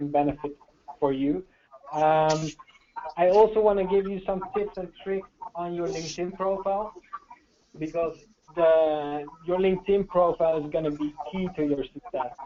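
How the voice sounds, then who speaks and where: The speaker has a Dutch accent and a moderate pace. Long pauses come frequently. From Netherlands. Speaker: sales trainer. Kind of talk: webinar training presentation. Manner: hesitant, many fillers.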